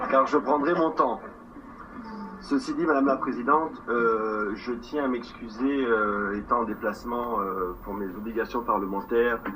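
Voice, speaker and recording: Speaking at a fairly slow pace, a man with a medium pitch and ordinary pitch variation is heard with audible room echo and noticeable background noise. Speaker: territorial councillor and parliamentarian. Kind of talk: formal council speech. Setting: council chamber session. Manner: hesitant.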